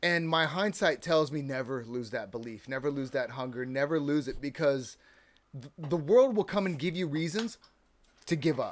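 An unremarkable speaking voice from a man with an American accent, fairly high-pitched for a man, at a moderate pace with lively intonation. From California. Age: 40s. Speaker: filmmaker. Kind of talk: casual chat. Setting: studio.

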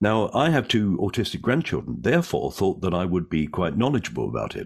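A man's very deep, low voice with vocal fry, at a fairly quick pace against a quiet background. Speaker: comedian and actor. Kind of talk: casual interview chat. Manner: witty, joking.

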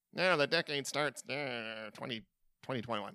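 Putting on a character voice, a man speaks at a medium pitch with lively intonation. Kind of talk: pedantic. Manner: nerdy, pedantic.

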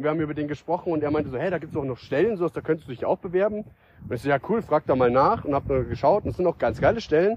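Words come from this man very fast, his pitch fairly high. The intonation is lively. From Bavaria, Starnberg area. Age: 20s. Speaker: podcaster. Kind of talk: casual monologue. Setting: outdoors. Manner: halting, many fillers.

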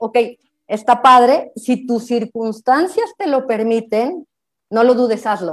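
A woman with a Mexican accent speaks at a fairly slow pace and a high pitch. Her tone is animated. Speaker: lawyer and business coach. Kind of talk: online talk.

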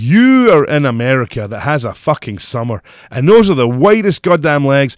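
With hardly any pauses, a man talks at a moderate pace in a fairly high voice with very wide pitch swings, on a very clean recording with a silent background. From Scotland.

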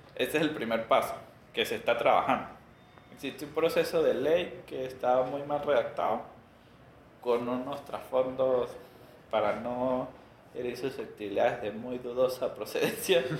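A man speaks at a moderate pace with long, frequent pauses. Noticeable background noise runs under his voice. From Venezuela. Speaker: tech company executive. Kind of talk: interview.

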